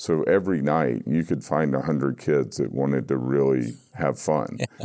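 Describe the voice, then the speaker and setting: Over noticeable background noise, a man with an American accent talks at a fairly slow pace in a very deep, low pitch with ordinary pitch variation. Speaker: recovery guest sharing story. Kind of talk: interview, personal recovery story.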